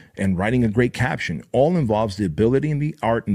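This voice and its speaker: A man speaks at a very fast pace with an animated tone and lively intonation. The recording is very clean, with a silent background. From Armenia. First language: Armenian. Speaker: motivational podcast host. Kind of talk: motivational talk.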